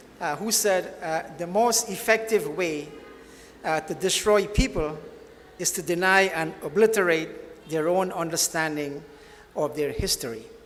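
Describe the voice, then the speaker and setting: Amid noticeable background noise and audible room echo, a man speaks at a fairly slow pace and a high pitch for a man, with ordinary pitch variation. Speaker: author and former history teacher. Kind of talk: book launch talk. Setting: banquet hall with audience. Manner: hesitant, many fillers.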